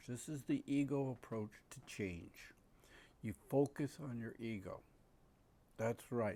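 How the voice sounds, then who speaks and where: A man's dark, mellow tone at a medium pitch, with ordinary pitch variation and a fairly slow pace, in a very clean recording with a silent background. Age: 70s. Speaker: breathing coach and trainer. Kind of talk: monologue talk. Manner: halting.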